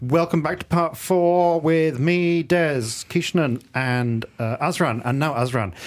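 Talking at a very slow pace with hardly any pauses, a man with a southern English accent has a fairly high pitch and ordinary pitch variation. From England. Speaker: radio football show host. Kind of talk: casual chat. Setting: studio.

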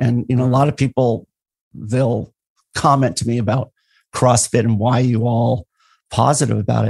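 The voice is somewhat breathy, with fairly even intonation. The sound is dry and close with no echo, against a quiet background. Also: man. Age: 50s. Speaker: endurance and fitness coach. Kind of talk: casual interview conversation.

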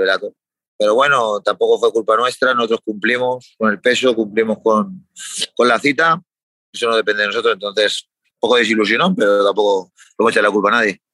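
A man with a medium-pitched voice and a bright, sharp tone speaks at a fairly quick pace with ordinary pitch variation in a dry, close sound with no echo. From Spain. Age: 30s. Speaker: MMA fighter. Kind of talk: interview.

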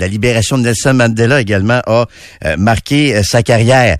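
A man speaks at a fairly quick pace in a medium pitch with ordinary pitch variation, against a quiet background. He has a normal speaking voice. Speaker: radio host. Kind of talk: casual chat. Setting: studio.

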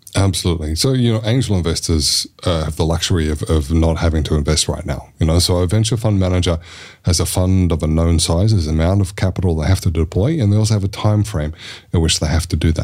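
A man's very deep, low voice, somewhat breathy, at a very fast pace, with very even loudness and ordinary pitch variation. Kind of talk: casual chat.

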